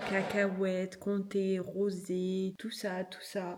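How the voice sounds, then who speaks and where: Somewhat breathy, the woman's voice rests at a medium pitch. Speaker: lifestyle vlogger. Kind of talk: casual vlog. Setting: at home. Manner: soft-spoken.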